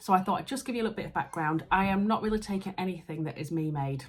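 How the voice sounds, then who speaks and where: Soft-spoken and somewhat breathy, a woman with a Yorkshire accent talks very fast in an animated tone. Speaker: sewing vlogger. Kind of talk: casual vlog. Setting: friend's house at night. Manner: chatty, animated; soft-spoken, quiet.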